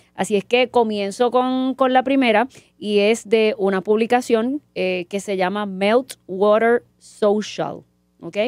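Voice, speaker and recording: Ordinary pitch variation in a dry sound with no echo, over a quiet background. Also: woman. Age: 40s. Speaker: marketing professor. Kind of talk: casual chat. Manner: halting, with many repetitions. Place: studio. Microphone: studio mic.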